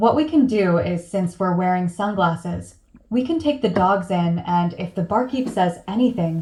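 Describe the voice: Reading aloud, plain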